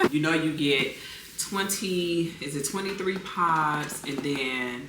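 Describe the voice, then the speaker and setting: A woman with a very deep, low pitch speaks at a very slow pace with ordinary pitch variation, amid audible room echo and noticeable background noise. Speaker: lifestyle vlogger. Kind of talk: casual vlog chat. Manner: conversational, filler-heavy.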